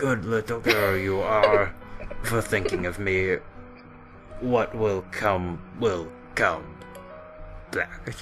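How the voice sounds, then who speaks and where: In a put-on character voice pitched fairly low, a man speaks very slowly over clear background music. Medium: actual play.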